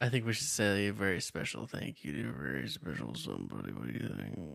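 Using a put-on character voice, a man speaks very fast in a very deep, low, creaky pitch with very wide pitch swings.

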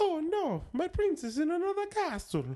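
A cartoonish character voice delivers its lines at a moderate pace and an extremely high pitch. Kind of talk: cartoonish, playful.

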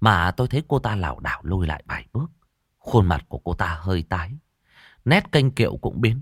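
Someone reads aloud in a natural voice, intonation lively, the background quiet.

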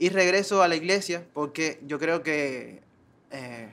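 Using a plain, everyday voice, a man keeps a fairly even intonation at a fairly high pitch. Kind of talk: meeting speech.

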